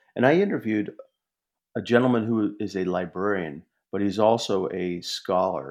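Over a quiet background, a man uses an unremarkable speaking voice, fairly low in pitch, at a moderate pace with ordinary pitch variation. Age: 50s. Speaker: author and journalist. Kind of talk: casual interview.

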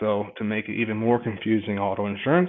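A plain, everyday voice with an American accent, fairly quick delivery and fairly even intonation. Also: man. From Michigan, Marshall. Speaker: insurance agent. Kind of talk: interview.

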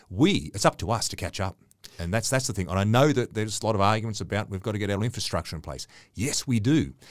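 On a very clean recording with a silent background, a man with an Australian accent talks very fast, his fairly low voice full of lively intonation. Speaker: radio host. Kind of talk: casual interview.

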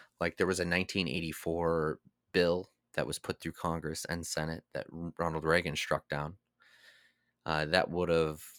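A man's voice sits very deep and low. The sound is dry and close with no echo, in a very clean recording with a silent background. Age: 30s. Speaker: political podcast host. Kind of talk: casual chat.

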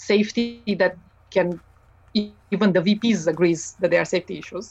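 A woman speaks at a moderate pace with a Romanian accent. Her pitch is medium and her intonation fairly even. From Romania, Transylvania. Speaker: mechanical engineer. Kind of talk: interview.

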